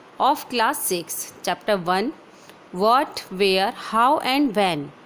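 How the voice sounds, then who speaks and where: Lively intonation from a woman, noticeable background noise behind her. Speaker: teacher. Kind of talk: lecture.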